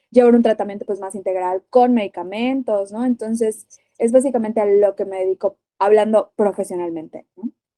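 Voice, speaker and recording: A woman with a Yucatecan accent at medium pitch, fairly quick in pace, with ordinary pitch variation. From Mérida, Yucatán, Mexico. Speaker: physician and nutritionist. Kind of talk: podcast interview.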